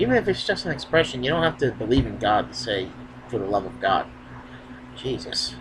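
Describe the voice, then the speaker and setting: A man talking at a fairly quick pace, broken by long, frequent pauses, over noticeable background noise. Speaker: wrestling youtuber. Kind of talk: casual q and a vlog. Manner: filler-heavy.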